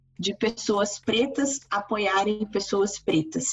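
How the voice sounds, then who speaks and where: Noticeable background noise sits behind a woman's voice. She has a medium pitch and a fairly slow pace. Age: 30s. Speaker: university lecturer. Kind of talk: interview.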